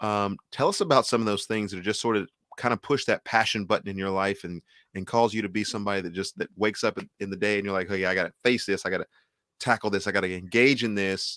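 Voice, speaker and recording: Talking at a very fast pace, a man with an American accent has a fairly low pitch, fairly even intonation and a bright, sharp tone, heard dry and close with no echo on a very clean recording against a silent background. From Texas. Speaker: music show host. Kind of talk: interview.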